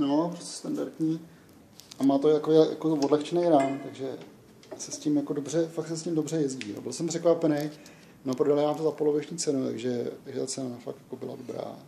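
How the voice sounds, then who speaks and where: Fairly high-pitched, a man speaks with fairly even intonation. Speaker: vlogger. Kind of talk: casual vlog chat. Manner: halting.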